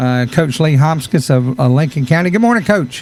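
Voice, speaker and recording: With a Southern US accent, a man with a fairly high pitch speaks at a moderate pace. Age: 60s. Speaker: radio host. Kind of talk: radio interview.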